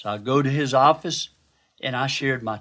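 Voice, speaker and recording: Very clean, with a silent background, the recording captures a man with an ordinary speaking voice and fairly high pitch. He talks at a moderate pace with ordinary pitch variation. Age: 60s. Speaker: physician and devotional speaker. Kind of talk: devotional Bible teaching.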